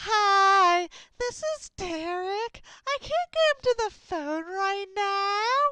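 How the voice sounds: Put on as a character voice, the speech is extremely high in pitch and very slow.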